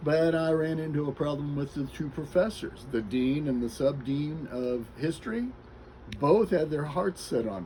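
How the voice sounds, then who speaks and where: Somewhat breathy and fairly high in pitch, a man with an American accent speaks with lively intonation. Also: moderate pace. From US Midwest, Kansas City suburbs. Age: 60s. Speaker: interviewee sharing life story. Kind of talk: interview, personal life story.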